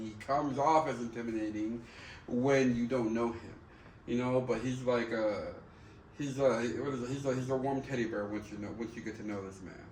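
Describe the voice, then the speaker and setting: Amid noticeable background noise, a man speaks at a moderate pace with fairly even intonation. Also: medium pitch for a man. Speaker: podcast host. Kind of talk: casual podcast conversation.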